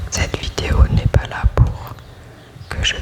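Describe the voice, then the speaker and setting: Someone whispers over noticeable background noise. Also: woman. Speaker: sophrologist. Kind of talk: ASMR sleep whisper talk. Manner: whispered.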